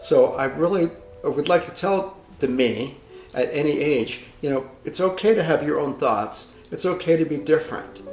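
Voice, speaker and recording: Music plays in the background as a man with a fairly high pitch speaks at a moderate pace with lively intonation. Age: 60s. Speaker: hair stylist. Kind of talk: personal reflection monologue. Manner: halting.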